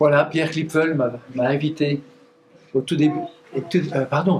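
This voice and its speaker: At a moderate pace and with noticeable background noise, a man with a fairly high pitch talks in fairly even intonation. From eastern France, Doubs (Montbéliard area). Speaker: pastor. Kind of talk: conference talk. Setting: church weekend gathering with audience. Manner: halting, with fillers and restarts.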